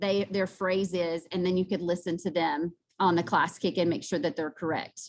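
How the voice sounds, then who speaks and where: A woman speaks with fairly even intonation against a quiet background. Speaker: math teacher. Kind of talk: presentation. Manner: fast.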